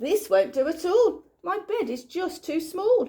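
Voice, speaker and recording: Putting on a squeaky character voice, a woman speaks at a fairly slow pace in an extremely high pitch with very wide pitch swings. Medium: read story. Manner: gentle, warm.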